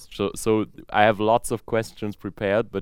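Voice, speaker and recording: Man with a normal speaking voice, fairly low in pitch, at a fairly slow pace, in a very clean recording with a silent background and a dry, close sound without echo. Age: young. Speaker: podcast host, young saxophonist. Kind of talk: moderated interview.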